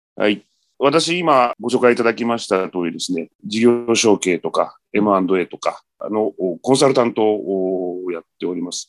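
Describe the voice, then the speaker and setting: Lively intonation marks this man's medium-pitched voice as he talks at a fairly slow pace. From Japan, Shizuoka. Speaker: M&A consultant. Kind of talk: interview.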